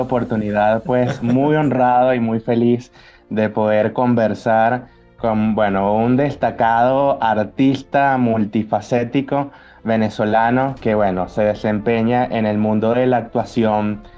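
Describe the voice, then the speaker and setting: A man's medium-pitched voice at a very slow pace, very even in loudness and fairly even in intonation, with music in the background. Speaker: interviewer, journalist. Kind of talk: channel host intro.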